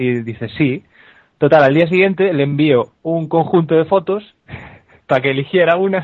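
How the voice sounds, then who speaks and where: This man talks at a moderate pace with long, frequent pauses. His fairly high pitch shows ordinary variation. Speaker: comedy podcaster. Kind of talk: casual chat.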